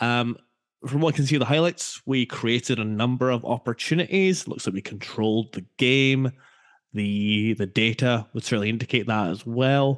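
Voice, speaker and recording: A man's relaxed voice at medium pitch with a Scottish accent, moderate pace and ordinary pitch variation, dry and close with no echo, over a quiet background. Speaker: podcast co-host. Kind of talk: casual football podcast chat. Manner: jokey, relaxed.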